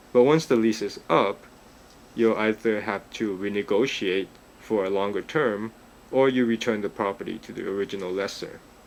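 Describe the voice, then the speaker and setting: A man's fairly low voice carries fairly even intonation at a moderate pace. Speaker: real estate agent. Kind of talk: narrated driving tour. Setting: in a car. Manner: monotone.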